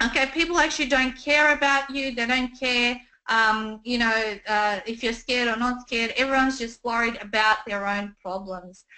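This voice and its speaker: A woman with a high, bright and sharp voice speaks at a moderate pace with lively intonation, her voice raised and projected. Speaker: business coach. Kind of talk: webinar presentation. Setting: online webinar. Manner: hesitant with many fillers.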